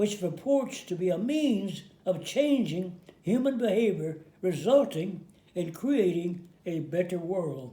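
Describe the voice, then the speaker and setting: Very slow and full of lively intonation, a man's high-pitched voice carries a dark, mellow tone. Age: 80s+. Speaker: war veteran. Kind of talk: religious commentary to camera. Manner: slow, hesitant.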